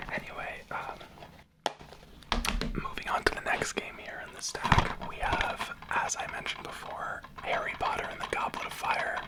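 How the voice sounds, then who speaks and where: Someone is whispering at a fairly slow pace. Noticeable background noise runs underneath. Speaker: ASMR creator. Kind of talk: ASMR whisper. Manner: whispered.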